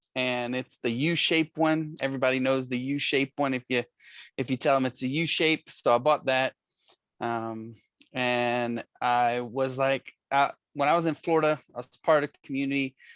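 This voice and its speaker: At a moderate pace, a man in a Southern US accent speaks at medium pitch with fairly even intonation and big swings in loudness. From Louisiana, US South. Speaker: board candidate. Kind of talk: community board meeting.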